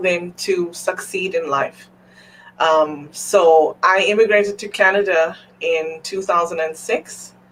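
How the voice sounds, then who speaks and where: Over noticeable background noise, a woman with a fairly low pitch speaks very slowly and with fairly even intonation. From South Africa. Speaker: entrepreneur, executive assistant. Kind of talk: interview. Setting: live stream.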